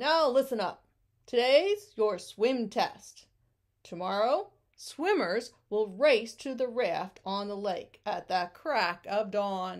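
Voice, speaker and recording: A woman's put-on character voice at a very slow pace, with fairly high pitch and lively intonation, in a very clean recording with a silent background. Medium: read story. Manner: commanding, announcer-like.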